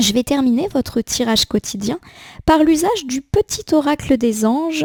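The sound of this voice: A woman's high-pitched, slightly mellow voice with lively intonation, at a fairly slow pace. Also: dry, close sound with no echo.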